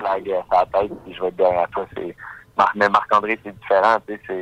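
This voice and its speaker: In a monotone, flat delivery, a man talks at a moderate pace with a fairly low pitch. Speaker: professional MMA fighter. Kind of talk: radio interview.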